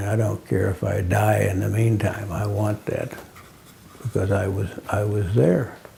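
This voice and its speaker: Over noticeable background noise, a man speaks fairly slowly in a fairly low pitch with ordinary pitch variation. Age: 70s. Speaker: military veteran. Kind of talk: interview. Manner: halting.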